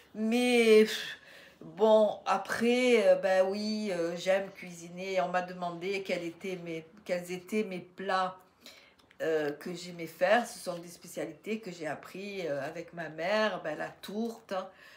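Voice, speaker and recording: A woman at a medium pitch, very slow, with fairly even intonation and big swings in loudness. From southeastern France, Riviera near Menton. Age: 60s. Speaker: YouTuber, retired grandmother. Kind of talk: casual Q&A monologue. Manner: hesitant, many fillers.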